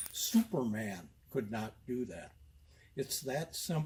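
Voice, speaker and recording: A man speaks with lively intonation in a somewhat breathy voice. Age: 70s. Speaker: carpet installer demonstrating a tool. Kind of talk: tutorial. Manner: hesitant with frequent uh fillers.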